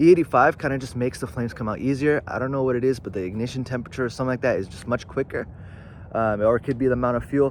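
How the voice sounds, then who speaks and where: At a very fast pace, a man speaks at medium pitch with fairly even intonation. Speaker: car tuning youtuber. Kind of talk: tutorial. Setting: outdoors. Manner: casual, filler-heavy.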